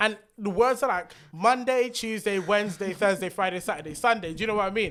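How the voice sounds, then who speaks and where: With a British accent, a high-pitched man talks very fast in an animated tone with ordinary pitch variation. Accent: British accent, kept. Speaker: podcast co-host. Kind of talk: casual chat.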